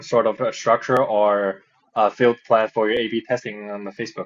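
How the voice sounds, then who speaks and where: A man speaks at a moderate pace. He has a slight non-native accent. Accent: slight foreign. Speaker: podcast host. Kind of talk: casual chat. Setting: video call. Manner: halting.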